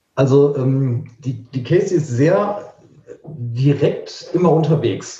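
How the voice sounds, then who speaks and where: Audible room echo surrounds a man's voice. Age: 50s. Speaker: musician. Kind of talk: casual chat.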